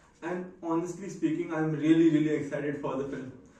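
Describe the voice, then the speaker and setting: A man with a high voice is heard over noticeable background noise, with audible room echo. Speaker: vlogger. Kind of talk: casual vlog monologue. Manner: deliberately slowed down.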